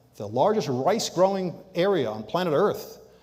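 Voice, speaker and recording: Over audible room echo, a man talks at a moderate pace with lively intonation. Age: 70s. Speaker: guest lecturer on leadership and sustainability. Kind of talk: lecture. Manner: conversational, with fillers.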